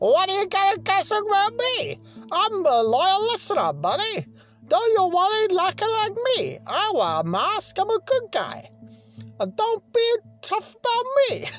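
A put-on character voice at an extremely high pitch moves at a moderate pace over faint music in the background.

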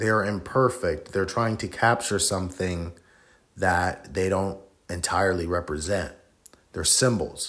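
On a very clean recording with a silent background, a man speaks at a fairly low pitch with fairly even intonation. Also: fairly slow pace. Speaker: solo podcast host. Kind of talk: casual solo monologue. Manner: reflective, inflected tone.

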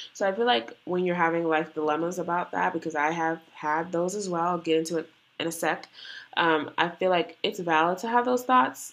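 Against a quiet background, a woman with a fairly low pitch talks at a fairly quick pace in an ordinary speaking voice. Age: 20s. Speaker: podcast co-host, college student. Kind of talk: casual chat. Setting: in person together.

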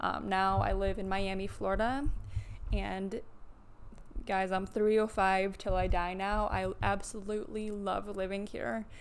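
With audible room echo around her, a woman of medium pitch talks at a fairly slow pace and keeps her intonation fairly even. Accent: American. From US Midwest (Midland, Michigan). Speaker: physical therapist and fitness coach. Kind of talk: casual solo monologue.

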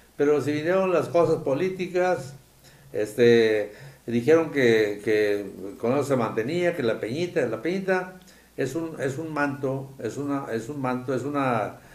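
With lively intonation, the speaker talks at a fairly slow pace amid audible room echo. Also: man. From Tamaulipas, Mexico (rural Soto la Marina). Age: 70s. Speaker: engineer, businessman and local political organizer. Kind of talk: interview. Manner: halting, many repetitions.

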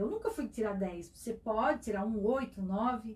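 Her voice is an ordinary speaking voice, a woman's at fairly high pitch with fairly even intonation. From Itajaí, Santa Catarina, Brazil. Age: 40s. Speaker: business founder. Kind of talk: interview. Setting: studio.

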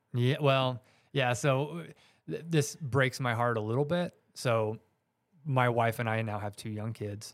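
A man's normal speaking voice with an American accent, medium pitch, ordinary pitch variation and a fairly slow pace, on a very clean recording with a silent background. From US South, Georgia suburbs. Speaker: author and hunter. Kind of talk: casual chat.

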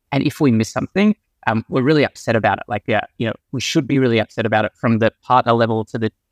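Very fast speech from a man with an Australian accent, medium pitch, fairly even intonation, dry, close sound with no echo. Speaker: venture capital investor. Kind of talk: interview. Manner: hesitant, many fillers.

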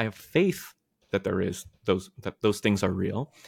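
With an American accent, a man talks in an ordinary speaking voice at a moderate pace and fairly low pitch, the sound dry and close with no echo. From US, Maryland. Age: 30s. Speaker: pastor and theologian. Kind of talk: interview conversation.

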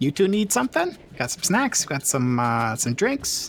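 At a fairly slow pace, a man performs a put-on character voice. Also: fairly high pitch for a man. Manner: friendly, inviting.

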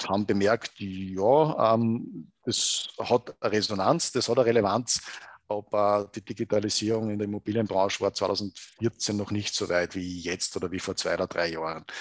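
In a normal speaking voice, a man talks at a moderate pace with fairly even intonation over a quiet background. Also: dry, close sound with no echo. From Upper Austria, Salzkammergut. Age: 50s. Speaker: proptech company co-founder. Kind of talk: interview.

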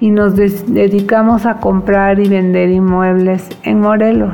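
A woman speaks at a very slow pace with fairly even intonation. Audible room echo and noticeable background noise surround her voice. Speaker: psychologist and entrepreneur. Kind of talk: personal testimony.

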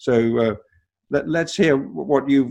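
A man speaks with a British accent. His intonation is lively.

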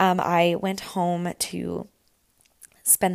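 A woman with a Canadian accent, fairly low pitch, relaxed tone, and very slow pace. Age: 20s. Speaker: podcast host, student. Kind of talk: casual monologue. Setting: at home on couch. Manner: relaxed, chatty.

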